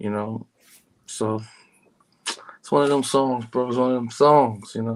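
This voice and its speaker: Speaking at a fairly slow pace with fairly even intonation, a man shows big swings in loudness and long, frequent pauses. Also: medium pitch for a man. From Harlem, New York. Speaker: hip hop artist. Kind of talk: casual interview chat. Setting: remote from home. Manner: calm, low-key.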